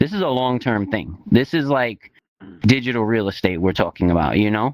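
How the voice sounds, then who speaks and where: A man with a New York accent speaks at a medium pitch with lively intonation, in a dry, close sound with no echo. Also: moderate pace. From New York City (East New York, Brooklyn). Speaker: crypto investor and instructor. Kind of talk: casual interview. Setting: virtual reality talk show.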